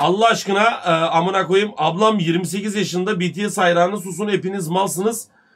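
Bright, sharp tone from a man with a high pitch and a raised, projected voice over a quiet background. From Turkey. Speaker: live streamer. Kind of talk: casual live stream chat. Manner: animated. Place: home room.

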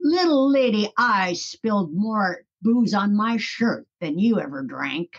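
Using a gruff, put-on character voice at a medium pitch, a woman speaks fairly slowly with very wide pitch swings and hardly any pauses. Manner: tough guy, gruff and boastful.

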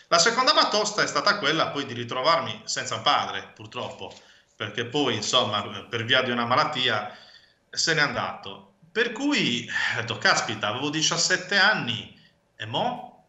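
There is audible room echo but a quiet background as a man speaks at a fairly slow pace. His voice is fairly high for a man, with very wide pitch swings. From Sardinia, Cagliari; Sardinia, Italy. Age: 30s. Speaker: bookseller and publisher; bookseller. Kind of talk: interview. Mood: reflective, personal story. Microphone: video call.

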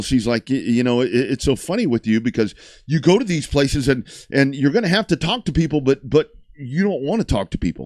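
A man's voice has a dry sound with no echo against a quiet background. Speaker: sports talk show host. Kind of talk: casual talk show chat. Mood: amused, relaxed storytelling. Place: studio. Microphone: studio mic.

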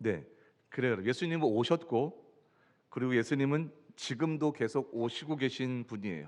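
With a quiet background behind him, a man talks at a moderate pace, his intonation lively. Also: medium pitch for a man. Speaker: pastor. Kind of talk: sermon. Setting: church.

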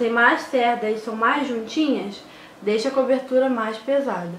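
A woman speaks in a high pitch with audible room echo around her. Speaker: beauty vlogger. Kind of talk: makeup tutorial. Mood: relaxed, playful. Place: home room. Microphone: phone near.

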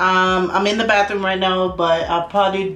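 A woman is speaking amid audible room echo. Faint music plays in the background. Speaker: lifestyle vlogger. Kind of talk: casual vlog chat. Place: bathroom. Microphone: phone near.

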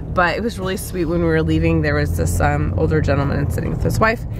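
A woman's voice amid noticeable background noise, with a dry sound and no echo. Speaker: family vlogger. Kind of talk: casual vlog chat. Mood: cheerful, amused. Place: car. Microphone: phone near.

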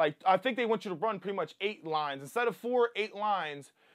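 This man has a high-pitched voice with an American accent. The background is quiet. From US Mid-Atlantic (Wilmington, Delaware); Delaware. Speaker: car enthusiast YouTuber; car enthusiast vlogger. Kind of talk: casual tutorial. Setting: indoors at home. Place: home room.

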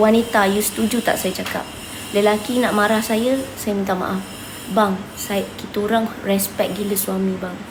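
A woman speaks in a monotone, flat intonation at a fairly slow pace. The recording carries noticeable background noise and audible room echo. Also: medium pitch for a woman. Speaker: online seller and live streamer. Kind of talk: live stream address to viewers.

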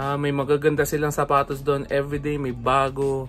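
Faint background music behind a man talking at a moderate pace. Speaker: sneaker vlogger. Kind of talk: casual vlog chat. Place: home room. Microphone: phone near.

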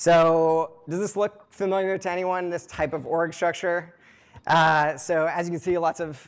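Against a quiet background, a man with a high voice speaks at a moderate pace. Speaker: product manager. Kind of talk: talk to a live audience. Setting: stage with audience. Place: hall. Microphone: lapel.

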